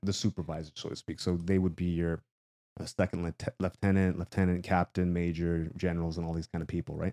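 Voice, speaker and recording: A man speaks at a very fast pace in a Canadian accent, his pitch very deep and low. The tone is dark and mellow, and the sound is dry and close with no echo. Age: 40s. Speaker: motivational runner and YouTuber. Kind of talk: casual interview chat. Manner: energetic.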